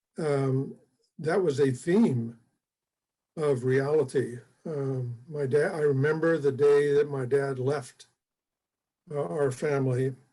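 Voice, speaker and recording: With an American accent, a man speaks very slowly, taking long, frequent pauses, in a fairly high voice with ordinary pitch variation. His tone is dark and mellow and somewhat breathy. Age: 80s+. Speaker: retired fire chief and mentor. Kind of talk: interview. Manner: halting, many fillers.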